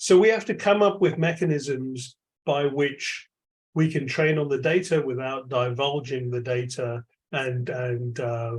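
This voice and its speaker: A man speaks at a medium pitch with a London accent. His voice is somewhat breathy. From London, England. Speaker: AI lab chair, tech executive. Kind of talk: keynote Q&A answers.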